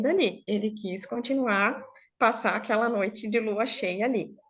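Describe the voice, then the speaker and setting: A woman speaks at a fairly slow pace. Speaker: storyteller. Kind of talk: oral storytelling to a live online group. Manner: informal, conversational.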